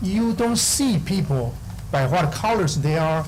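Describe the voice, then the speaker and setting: The speaker goes at a fairly slow pace with lively intonation. Audible room echo and noticeable background noise fill the recording. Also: man. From Taiwan. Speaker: school board applicant. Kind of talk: public meeting statement. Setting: city council meeting. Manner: halting, many fillers.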